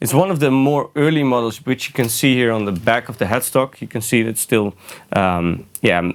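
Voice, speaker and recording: The speaker has a Dutch accent and lively intonation. The pace is moderate. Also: man, medium pitch for a man. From Netherlands. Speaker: guitarist. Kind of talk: gear demo tutorial. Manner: halting, many fillers.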